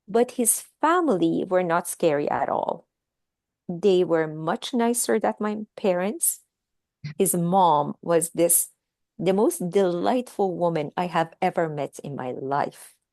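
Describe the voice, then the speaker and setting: A woman speaks at a very slow pace with lively intonation and a fairly low pitch. The sound is dry and close, with no echo. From Iran, Tehran. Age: 60s. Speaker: author. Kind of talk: interview.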